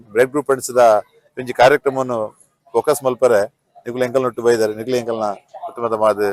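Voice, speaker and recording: A man's medium-pitched, flat, monotone voice in a dry, close sound with no echo. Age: old. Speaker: senior honorary adviser of community association. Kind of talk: interview answers.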